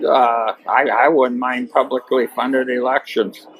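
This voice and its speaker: Medium-pitched man with an American accent, noticeable background noise. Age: 60s. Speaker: farmer and political delegate. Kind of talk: interview.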